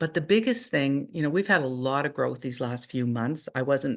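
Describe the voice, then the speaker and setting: A woman with a Canadian accent speaks at a fairly quick pace in a very deep, low voice. Her intonation is lively, and the background is quiet. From Canada. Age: 60s. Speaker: network marketing leader. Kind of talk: motivational training talk.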